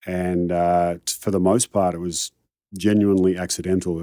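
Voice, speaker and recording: A man with a very deep, low pitch and a dark, mellow tone speaks in a monotone, flat delivery, the sound dry and close with no echo on a very clean recording with a silent background. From Australia, Melbourne suburbs. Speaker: high-performance coach. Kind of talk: interview conversation. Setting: studio.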